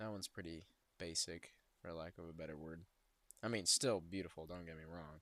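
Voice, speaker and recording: Quiet and very deep, with a very low pitch, a man speaks at a moderate pace. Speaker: travel video creator. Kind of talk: casual screen-share commentary. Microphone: poor audio, close to mic.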